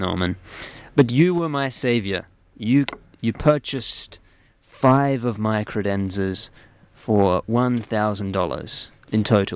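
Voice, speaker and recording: A man with an Australian accent speaks at a very slow pace, with ordinary pitch variation and long, frequent pauses against a quiet background. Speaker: radio host. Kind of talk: comedic radio show. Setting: studio.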